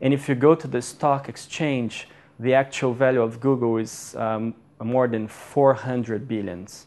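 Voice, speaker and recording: Speaking with a Portuguese accent, a man talks at a fairly slow pace and medium pitch with fairly even intonation. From Brazil. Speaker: MBA student. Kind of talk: lecture. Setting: stage with audience. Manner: halting.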